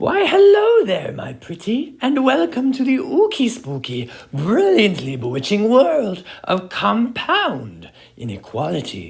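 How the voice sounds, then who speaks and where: The speaker uses a put-on character voice pitched fairly high. Delivery is fairly slow. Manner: theatrical, spooky.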